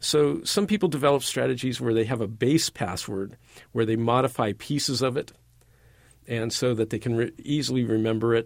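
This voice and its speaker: This man has a plain, everyday voice at medium pitch, with ordinary pitch variation and a moderate pace, captured on a very clean recording with a silent background. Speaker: college professor, IT department chair. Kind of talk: interview. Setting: studio.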